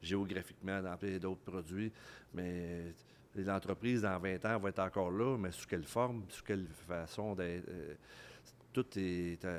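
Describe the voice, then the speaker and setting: A man's very deep, low voice, fairly slow and even in intonation, long, frequent pauses, very clean recording with a silent background. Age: 50s. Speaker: business executive. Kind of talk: casual interview. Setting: microbrewery, recorded live. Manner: halting, repeats words.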